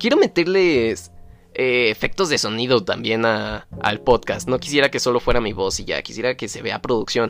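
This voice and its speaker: A man at a moderate pace with lively intonation, with music in the background. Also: medium pitch for a man. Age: young. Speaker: podcaster. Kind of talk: casual monologue. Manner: halting.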